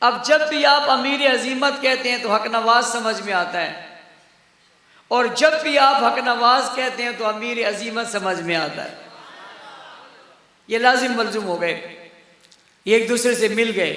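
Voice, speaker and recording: A man speaks in a raised, projected voice at an extremely high pitch, with ordinary pitch variation. Noticeable background noise can be heard. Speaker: Islamic preacher delivering a sermon. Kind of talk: passionate religious sermon to a live audience. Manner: emphatic, rhetorical, call-and-response with the crowd.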